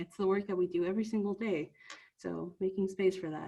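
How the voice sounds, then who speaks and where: A woman talks at a moderate pace with a Spanish accent. Her pitch sits in the medium range. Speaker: youth trainer. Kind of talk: training presentation. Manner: conversational with frequent filler words.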